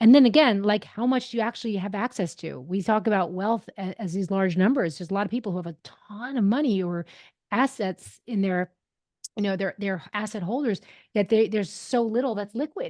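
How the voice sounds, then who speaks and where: A woman at medium pitch and a fairly quick pace with ordinary pitch variation, in a dry, close sound with no echo against a quiet background. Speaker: impact investing expert. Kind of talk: podcast interview. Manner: fast.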